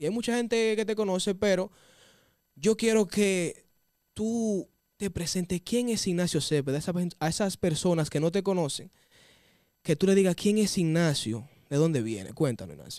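A man with a Dominican accent speaks at a high pitch, in a dark, mellow tone with lively intonation. His moderate pace includes long, frequent pauses against a quiet background. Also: dry sound with no echo. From Dominican Republic. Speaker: interviewer. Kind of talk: interview. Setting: studio. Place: studio. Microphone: studio mic.

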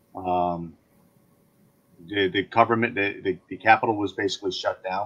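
A man with an ordinary speaking voice and fairly even intonation, at a moderate pace, against a quiet background. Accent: American. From Connecticut, New Fairfield. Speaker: state legislator. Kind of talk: interview.

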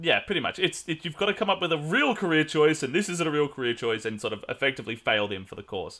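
A man's fairly high-pitched voice with vocal fry and very wide pitch swings, at a very fast pace with hardly any pauses. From Mexican heritage. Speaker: podcast host. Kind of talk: casual chat. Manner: animated.

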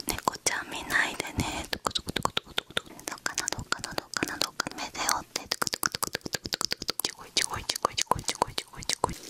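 Whispered at a very fast pace, the speech breaks into long, frequent pauses. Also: woman. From Japan. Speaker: ASMR creator. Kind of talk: ASMR roleplay with follow-the-instruction triggers. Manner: whispering, soft-spoken. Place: home room. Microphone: studio mic.

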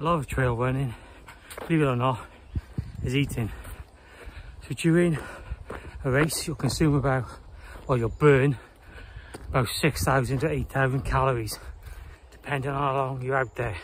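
Over light background noise, a man speaks somewhat breathily at a moderate pace with fairly even intonation and long, frequent pauses, in a dry sound with no echo. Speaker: trail runner vlogger. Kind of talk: casual vlog chat. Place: open country. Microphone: phone near.

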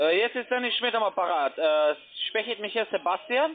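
A man's high voice at a moderate pace, with lively intonation

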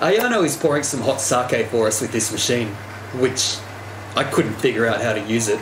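The speech moves at a moderate pace, with noticeable background noise. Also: man. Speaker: travel vlogger. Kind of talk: casual vlog chat. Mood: cheerful, playful. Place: bar. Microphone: phone near.

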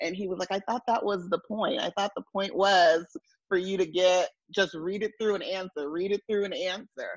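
The speaker has an American accent, a moderate pace and ordinary pitch variation. The background is quiet and the sound is dry with no echo. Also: woman. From San Diego, California; California. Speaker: law graduate who passed the bar exam. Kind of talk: interview testimony. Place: home room. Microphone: earbuds.

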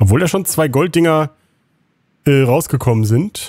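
In a dry, close recording with no echo, a man with a dark, mellow, somewhat breathy tone speaks at a fairly slow pace with very wide pitch swings. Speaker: gaming YouTuber. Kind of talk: let's play commentary. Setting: home recording at computer.

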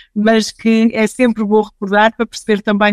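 A woman's medium-pitched voice in a European Portuguese accent, with a dry, close sound and no echo. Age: 40s. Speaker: HR director. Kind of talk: podcast interview. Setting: at home, remote.

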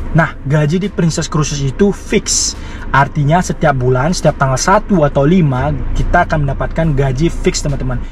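A man speaks at a moderate pace with ordinary pitch variation. The sound is dry with no echo and light background noise. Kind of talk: casual vlog chat. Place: car. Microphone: lapel.

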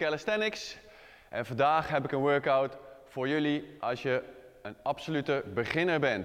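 Moderate-paced speech from a man over a quiet background. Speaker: fitness trainer. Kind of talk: tutorial. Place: gym. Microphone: lapel.

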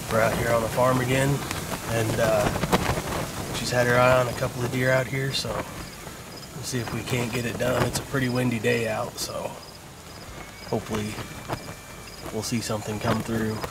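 Loud background noise fills a dry recording with no echo. A man speaks at a moderate pace with long, frequent pauses. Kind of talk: casual vlog chat. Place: tent. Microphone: phone near.

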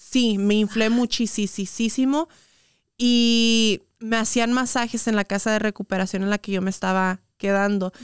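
Against a quiet background, a woman speaks fairly slowly at a fairly high pitch. Her intonation stays fairly even and her loudness very even. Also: dry sound with no echo. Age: 20s. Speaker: influencer and entrepreneur; influencer. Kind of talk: casual interview chat. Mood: relaxed, open storytelling. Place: studio. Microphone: studio mic.

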